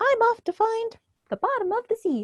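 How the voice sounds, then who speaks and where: A woman's put-on character voice, squeaky and extremely high-pitched. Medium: read story. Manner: polite, eager.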